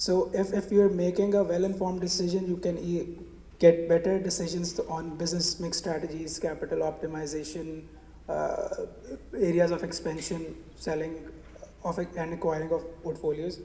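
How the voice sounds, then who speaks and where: This man has a high pitch and a monotone, flat delivery. He speaks at a moderate pace with audible room echo. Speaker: management consultant presenting at a conference. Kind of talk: conference presentation. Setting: stage at a conference with audience. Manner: hesitant with many fillers. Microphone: gets quieter when moving away from the mic.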